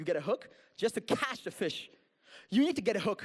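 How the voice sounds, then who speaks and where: Lively intonation at a fairly quick pace. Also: man. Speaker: social media marketing presenter. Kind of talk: workshop presentation. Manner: fast.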